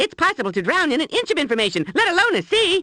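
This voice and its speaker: A squeaky, cartoonish character voice races along at a very fast pace and an extremely high pitch. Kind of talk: cartoon voice acting. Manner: excitable, goofy, exclamatory.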